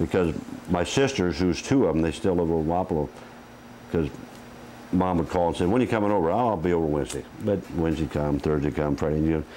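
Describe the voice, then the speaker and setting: In a Midwestern US accent, a man with a very deep, low pitch talks at a very fast pace with long, frequent pauses, very even loudness and ordinary pitch variation. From Iowa, US Midwest. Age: 60s. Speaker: retired highway patrol officer. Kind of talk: interview.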